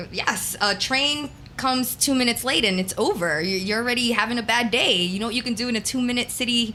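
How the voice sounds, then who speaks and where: A woman with a New York accent talks at a very fast pace with hardly any pauses, in an animated tone at a fairly high pitch with ordinary pitch variation. Her loudness stays very even, and noticeable background noise is present. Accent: New York American. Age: 40s. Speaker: radio DJ. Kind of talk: casual interview chat.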